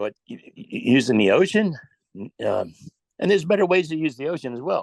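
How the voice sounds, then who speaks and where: A man with an American accent is heard in a dry, close sound with no echo. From New Jersey. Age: 60s. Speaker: retired teacher, public commenter. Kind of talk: public comment. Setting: virtual meeting on Zoom. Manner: halting, with repeated words.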